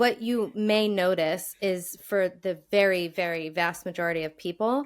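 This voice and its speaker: A woman's medium-pitched voice at a moderate pace, ordinary pitch variation, on a very clean recording with a silent background. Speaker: speech pathologist. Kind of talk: casual chat.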